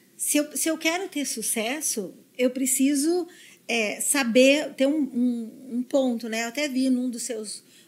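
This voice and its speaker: Recorded very cleanly over a silent background, a woman talks at a fairly slow pace in a high pitch with ordinary pitch variation. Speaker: neuro-linguistic programming specialist. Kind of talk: podcast interview. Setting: studio.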